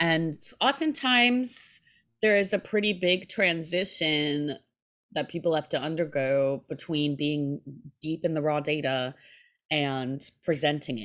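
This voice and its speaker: A woman's very deep, low voice with lively intonation at a fairly slow pace, on a very clean recording with a silent background. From New York City. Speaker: podcast host. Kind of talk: casual interview conversation.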